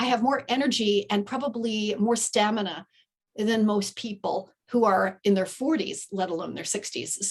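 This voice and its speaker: This woman's fairly high voice has a somewhat breathy quality. She keeps a moderate pace, and her pitch moves in an ordinary way. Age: 60s. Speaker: podcast guest, writer and coach. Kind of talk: casual interview chat.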